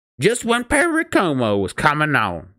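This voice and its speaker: Someone uses a put-on character voice that is gruff and growling, at a moderate pace. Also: man, fairly high pitch for a man. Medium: read story. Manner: gruff, growling.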